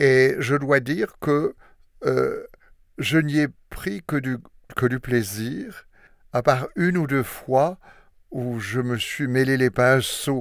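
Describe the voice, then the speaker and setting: Very slow delivery with long, frequent pauses and ordinary pitch variation. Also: man, medium pitch for a man. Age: 80s+. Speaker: retired diplomat and volunteer audiobook reader. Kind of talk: interview. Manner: hesitant, with fillers.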